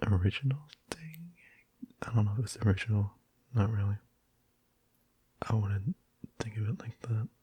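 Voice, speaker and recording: Soft-spoken and at a moderate pace, the speaker leaves long, frequent pauses. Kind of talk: casual talk to camera.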